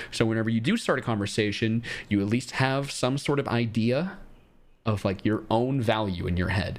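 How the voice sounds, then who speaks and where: A man with a plain, everyday voice, medium pitch, moderate pace, very even loudness and ordinary pitch variation. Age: 20s. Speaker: streamer giving dating advice. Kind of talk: live stream advice chat with callers. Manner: casual, blunt.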